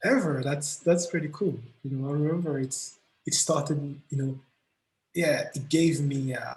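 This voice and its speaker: A man with a non-native accent talks at a fairly slow pace in a fairly high pitch. His voice is somewhat breathy and his intonation monotone and flat. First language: not English. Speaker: musician. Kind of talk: interview. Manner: hesitant, many fillers.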